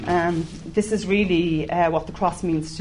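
A woman with an Irish accent speaks at a fairly slow pace, her pitch fairly low. Her intonation is fairly even, with vocal fry. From Ireland. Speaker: church member. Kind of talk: testimony. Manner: halting.

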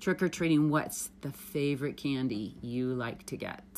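The recording is very clean, with a silent background. A woman speaks in an animated tone. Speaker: children's podcast host. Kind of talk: casual interview with a child. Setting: family cabin.

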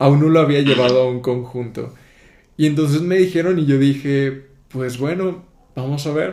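Against audible room echo, a man speaks with a fairly high pitch and a dark, mellow tone. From southern Mexico, Tapachula near Guatemala border. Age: 20s. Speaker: podcast host. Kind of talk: casual interview chat.

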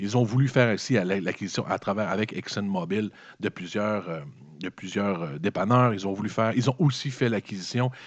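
Against a quiet background, a man with a Quebec accent speaks at a fairly low pitch and a moderate pace. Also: ordinary pitch variation. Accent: Québécois French. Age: 40s. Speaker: podcast host. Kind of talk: solo commentary podcast. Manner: halting, with repetitions.

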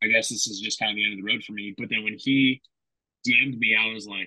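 With an American accent, a man speaks at a very fast pace. His delivery stays monotone and flat. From California, Fresno. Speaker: former college football player. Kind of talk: casual interview chat.

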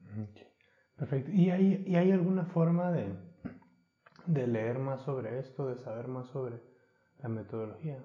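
A man with a dark, mellow tone speaks at a medium pitch, somewhat breathy and with lively intonation. He goes at a fairly slow pace and takes long, frequent pauses. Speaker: podcast host. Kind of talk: casual chat.

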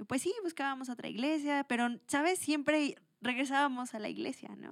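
Her pace fairly quick, a woman speaks with a high-pitched voice. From Mexico, Toluca. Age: 20s. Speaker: churchgoer sharing her faith story. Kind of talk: testimony.

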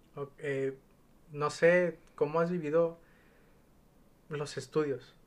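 A man speaks at a very slow pace. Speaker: podcast host. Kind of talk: casual chat.

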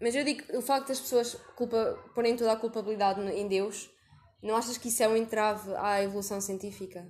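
Ordinary pitch variation and a moderate pace from a woman with fairly high pitch. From Portugal. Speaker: podcast host. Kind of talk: casual interview.

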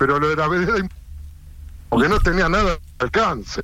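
This man speaks with a Rioplatense accent in a high pitch. His tone is bright and sharp, with very wide pitch swings. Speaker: football radio host. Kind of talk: interview. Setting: phone call. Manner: talkative.

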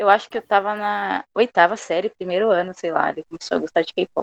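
A woman with an unremarkable speaking voice at medium pitch, fairly quick and fairly even in intonation, dry and close with no echo. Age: 20s. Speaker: fan fiction writer. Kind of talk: interview.

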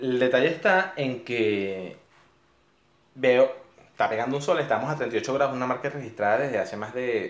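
Amid audible room echo, a man with a medium pitch speaks at a moderate pace with ordinary pitch variation. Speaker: podcast co-host. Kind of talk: casual chat.

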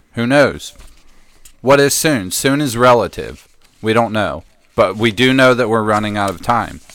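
The speaker keeps a moderate pace with long, frequent pauses. The pitch moves in an ordinary way. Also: man, medium pitch for a man. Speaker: podcast co-host.

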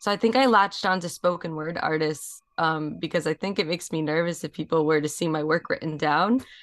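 In an American accent, a woman with a normal speaking voice talks at a fairly quick pace and fairly low pitch, with ordinary pitch variation, hardly any pauses and a quiet background. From New York, Rockland County. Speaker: multimedia artist and harpist. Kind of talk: interview.

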